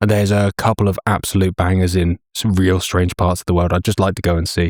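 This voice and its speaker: A man with an American accent, fairly low in pitch and very fast, in a dry, close, echo-free and very clean recording with a silent background. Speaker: shooting video creator. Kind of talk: casual chat.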